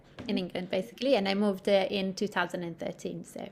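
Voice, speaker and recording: A woman speaks with an Italian accent at a medium pitch. Her intonation stays fairly even. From Italy. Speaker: midwife. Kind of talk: interview. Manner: hesitant, many fillers.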